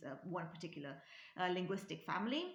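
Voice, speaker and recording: In a room with audible echo, a woman of medium pitch talks fairly quickly, her pitch swinging very widely. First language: Romanian. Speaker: linguistics YouTuber. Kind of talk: educational talk. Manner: halting, many fillers.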